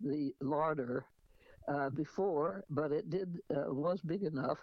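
A woman speaks very slowly with a very deep, low pitch. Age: 90s. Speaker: radio host and author. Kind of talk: casual talk with memoir reading.

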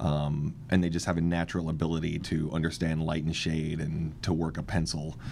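In a room with audible echo and noticeable background noise, a man with a very deep, low pitch speaks in a monotone, flat way with hardly any pauses. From US, Washington state (Kent). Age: 40s. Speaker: artist, cancer survivor. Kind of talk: interview. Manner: halting, many fillers.

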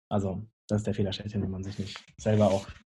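A man talks at a fairly quick pace in a dark, mellow tone that is somewhat breathy. His intonation stays monotone and flat. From northern Germany, Lüneburg Heath. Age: 20s. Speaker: chef and restaurant owner. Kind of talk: casual interview.

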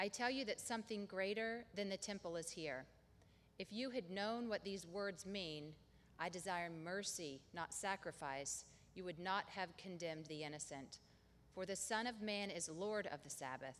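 At a moderate pace, a woman speaks in a plain, everyday voice of medium pitch with ordinary pitch variation. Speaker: scripture reader. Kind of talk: reading aloud.

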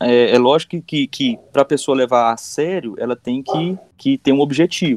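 Dry, close sound with no echo, a man at a moderate pace. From Goiás, Brazil. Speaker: collector, fan community member. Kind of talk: casual podcast conversation.

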